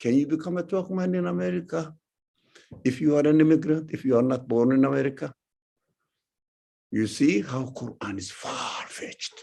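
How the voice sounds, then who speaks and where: The speaker has a strong non-native accent and a dark, mellow tone. Intonation is lively, the pace moderate, with long, frequent pauses. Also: man, medium pitch for a man. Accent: heavy foreign accent, often taken for Iranian. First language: not English. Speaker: religious teacher. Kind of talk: lecture. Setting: talk to a live audience, also streamed. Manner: halting.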